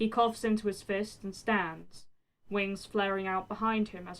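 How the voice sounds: The speaker uses a natural reading voice over a quiet background.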